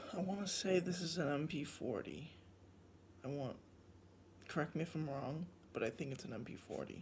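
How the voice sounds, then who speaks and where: Soft-spoken with vocal fry, a man at a fairly high pitch talks at a moderate pace with ordinary pitch variation and long, frequent pauses. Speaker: toy collector reviewer. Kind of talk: product review unboxing. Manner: soft-spoken, quiet; casual, hesitant with fillers.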